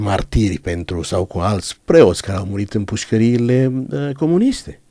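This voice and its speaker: A man's fairly low, dark and mellow voice with lively intonation at a fairly slow pace. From Romania, Banat (Caraș-Severin). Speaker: pastor. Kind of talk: interview testimony.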